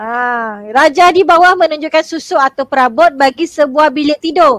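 A woman with a high pitch and ordinary pitch variation speaks fairly slowly, her voice dry with no echo against a quiet background. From Malaysia. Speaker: secondary school teacher. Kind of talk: online exam revision class. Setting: video call livestream. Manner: animated, laughs often. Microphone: video call.

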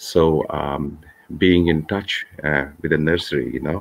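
A man with a very deep, low pitch and vocal fry speaks at a fairly slow pace. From Kashmir, Srinagar; Kashmir. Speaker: author and engineer; guest. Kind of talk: interview. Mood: earnest, reflective. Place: home room. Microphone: video call.

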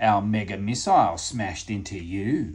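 In a put-on character voice, a man growls at a fairly low pitch. He keeps a moderate pace. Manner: snarling.

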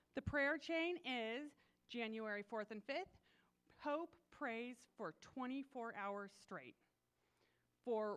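This is a woman speaking. Her pitch is high. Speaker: church announcer. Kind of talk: church announcements. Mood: upbeat, welcoming. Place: church.

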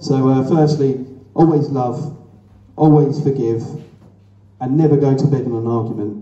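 With strong room echo around him, a man speaks in a dark, mellow tone at a moderate pace with fairly even intonation. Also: medium pitch for a man.

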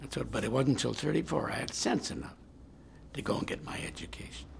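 With noticeable background noise behind him, a man talks at a fairly quick pace. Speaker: interviewee. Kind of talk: interview answer. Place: office.

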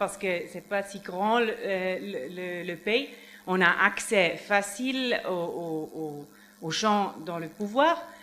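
Very slow speech from a woman with a non-native accent, lively intonation and big swings in loudness. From Switzerland. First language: not French (speaking French). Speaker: NGO advocate, witness; witness. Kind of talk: tribunal testimony. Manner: halting. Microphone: podium.

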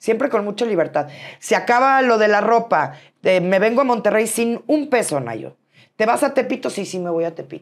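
Against a quiet background, a woman with vocal fry speaks at a moderate pace in an animated tone with lively intonation. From Mexico City. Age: 40s. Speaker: businesswoman; interview guest. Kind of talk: interview. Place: studio. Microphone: lapel.

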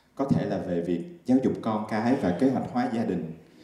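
A man speaks at a fairly slow pace. Audible room echo is present. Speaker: stand-up comedian. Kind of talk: stand-up comedy monologue. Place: stage. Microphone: handheld.

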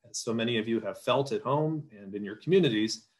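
The background stays quiet. A man talks with an American accent. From Wisconsin. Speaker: farm advocacy policy official; panelist. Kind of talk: panel presentation. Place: home room. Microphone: video call.

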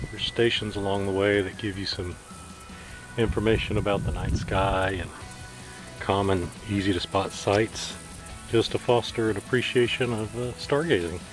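Clear music plays in the background, and the sound is dry with no echo. The speaker uses ordinary pitch variation and long, frequent pauses. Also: man, fairly low pitch for a man, moderate pace. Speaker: camping vlogger. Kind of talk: casual vlog narration. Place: open country. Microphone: phone near.

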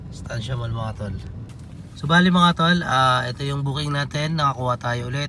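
A moderate pace and ordinary pitch variation over noticeable background noise. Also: man, fairly high pitch for a man. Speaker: ride-hailing driver vlogger. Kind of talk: casual vlog monologue while driving.

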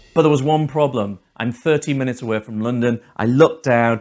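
A man talks at a fairly quick pace with ordinary pitch variation, and the background is quiet. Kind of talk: casual storytelling to camera. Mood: upbeat, laughs often. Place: home room. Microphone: lapel.

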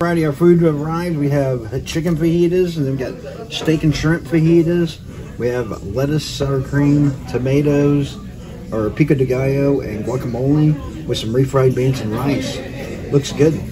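A man at a moderate pace, with ordinary pitch variation, over noticeable background noise. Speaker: family vlogger. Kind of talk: casual vlog chat. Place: cafe. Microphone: phone near.

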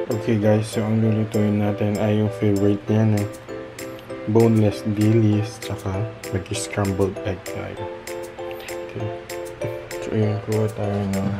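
A man's fairly slow speech with long, frequent pauses over loud background music. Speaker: vlogger. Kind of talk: casual vlog chat. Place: kitchen. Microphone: phone near.

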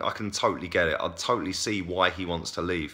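Fairly quick pace from a man, quiet background. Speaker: football fan vlogger. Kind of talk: casual vlog commentary. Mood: frustrated opinionated. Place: home room. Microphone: phone near.

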